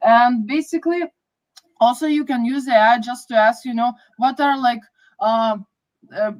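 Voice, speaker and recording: A woman's high voice in a Lithuanian accent, moderately paced, with long, frequent pauses. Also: ordinary pitch variation. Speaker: project manager. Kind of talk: podcast interview.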